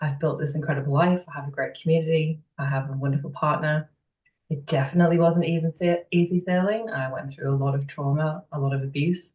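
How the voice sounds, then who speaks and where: A woman's very deep, low voice, somewhat breathy, at a very fast pace with fairly even intonation. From northeast England (Sunderland). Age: 30s. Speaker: business owner, women's coach. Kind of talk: interview, personal story.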